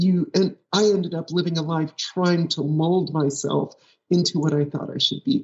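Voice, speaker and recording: This is a woman with a fairly low pitch. Her voice is somewhat breathy. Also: ordinary pitch variation, moderate pace. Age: 60s. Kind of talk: interview.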